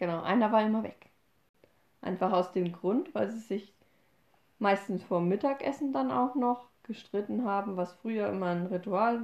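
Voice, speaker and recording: Pitched at a medium level, a woman talks at a fairly slow pace with ordinary pitch variation. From Upper Franconia, Bavaria. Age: 20s. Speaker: podcast host. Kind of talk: casual chat.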